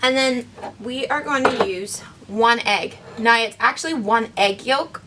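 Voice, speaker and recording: Noticeable noise sits in the background. Over it, a woman talks with a fairly high voice. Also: ordinary pitch variation, fairly slow pace. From Northern Ireland. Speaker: camp program director. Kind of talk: cooking tutorial to camera. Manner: friendly, casual.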